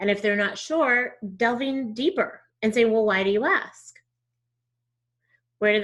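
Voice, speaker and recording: Speaking at a moderate pace with ordinary pitch variation, the voice comes with a slight Southern US accent. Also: woman. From Texas. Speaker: diversity trainer. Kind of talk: interview conversation.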